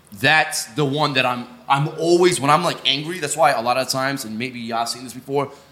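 A man with a fairly high pitch and ordinary pitch variation at a fairly quick pace with hardly any pauses, amid noticeable background noise. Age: 20s. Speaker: podcast co-host. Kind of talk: casual chat.

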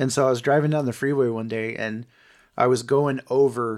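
A man's ordinary speaking voice at medium pitch and moderate pace, with fairly even intonation, on a very clean recording with a silent background. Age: 30s. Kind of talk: casual faith-based business chat.

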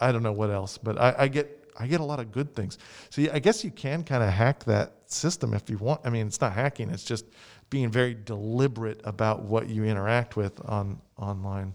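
A man with a plain, everyday voice and an American accent, medium pitch, ordinary pitch variation and a fairly quick pace, on a very clean recording with a silent background. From United States. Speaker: library staff member and podcast co-host. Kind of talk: casual chat.

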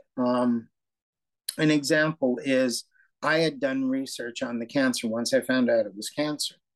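Recorded with a dry, close sound and no echo, a man speaks at a very slow pace. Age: 60s. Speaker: retired lawyer and diabetes patient. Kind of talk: interview.

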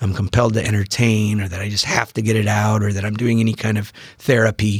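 A man's fairly low-pitched voice with an American accent. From US Pacific Northwest (Bainbridge Island, Washington). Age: 40s. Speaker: novelist. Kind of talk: casual chat.

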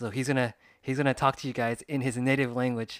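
A man at a very fast pace, dry and close with no echo, on a very clean recording with a silent background. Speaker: podcast host and former Japanese teacher. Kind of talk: casual interview chat. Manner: fast talker.

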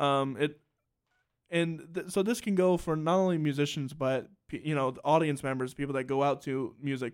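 In a very clean recording with a silent background, a plain, everyday voice with an American accent moves at a moderate pace with ordinary pitch variation. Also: man, fairly high pitch for a man. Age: 20s. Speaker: podcast host and musician. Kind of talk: casual interview. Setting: studio, broadcast on radio.

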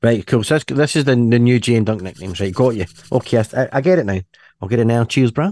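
A man's dark, mellow voice at medium pitch, with ordinary pitch variation, a very fast pace, and a dry, close sound with no echo. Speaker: podcast host. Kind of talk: casual chat. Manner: joking.

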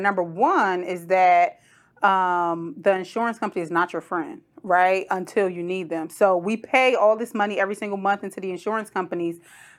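A woman speaks in an ordinary speaking voice at a moderate pace, with a medium pitch and an American accent. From Trenton, New Jersey. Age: 30s. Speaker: podcast host. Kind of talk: casual interview.

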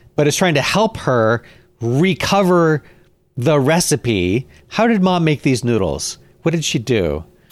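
A man's fairly high voice with lively intonation, music in the background. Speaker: podcast co-host. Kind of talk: casual chat.

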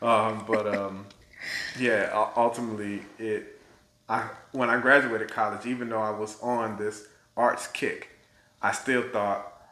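The voice, with an American accent and a bright, sharp tone, moves at a fairly slow pace in a monotone, flat delivery, with long, frequent pauses and audible room echo. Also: man. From Tallahassee, Florida (born US Virgin Islands). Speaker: theater artistic director. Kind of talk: interview conversation.

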